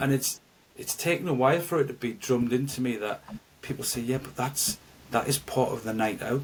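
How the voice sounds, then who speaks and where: A medium-pitched man with a Geordie accent. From North East England. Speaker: actor and musician. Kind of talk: podcast interview answer.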